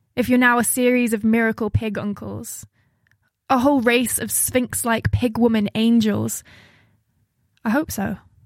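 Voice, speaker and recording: A somewhat breathy woman, fairly high in pitch, with monotone, flat intonation, a moderate pace and long, frequent pauses. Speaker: poet and playwright. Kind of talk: poetry performance and interview.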